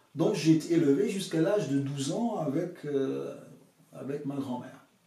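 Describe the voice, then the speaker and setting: A man with a fairly high pitch speaks at a fairly slow pace, leaving long, frequent pauses. His pitch varies in an ordinary way, and room echo is audible. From Dominica (Caribbean). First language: English or Dominican creole (speaking French). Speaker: author and pastoral counselor. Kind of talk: interview, life story. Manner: hesitant, many fillers.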